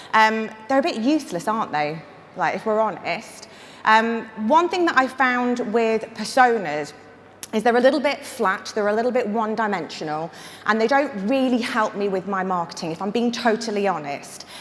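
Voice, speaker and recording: Audible room echo surrounds a woman whose fairly high voice moves with lively intonation at a moderate pace. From northern England. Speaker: marketing consultant and conference speaker. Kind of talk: conference talk. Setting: stage with audience. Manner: casual and humorous.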